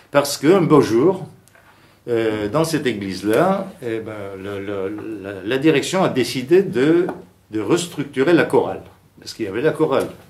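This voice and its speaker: Audible room echo surrounds a man talking at a fairly slow pace. His pitch swings very widely, his loudness varies a lot, and he takes long, frequent pauses. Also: medium pitch for a man. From Istanbul, Turkey (Armenian community). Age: 60s. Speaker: liturgical chant researcher and musician. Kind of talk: conference talk. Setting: seated at a conference. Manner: hesitant, many fillers.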